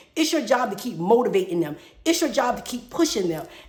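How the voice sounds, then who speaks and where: Over noticeable background noise, a woman speaks in an animated tone with very wide pitch swings. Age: 50s. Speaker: podcast host. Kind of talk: personal monologue. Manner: fast.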